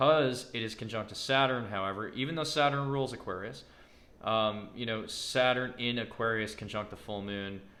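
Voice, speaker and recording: A man's medium-pitched voice, bright and sharp in tone, with ordinary pitch variation and audible room echo. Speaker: astrologer. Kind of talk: astrology forecast monologue. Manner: fast; casual with fillers.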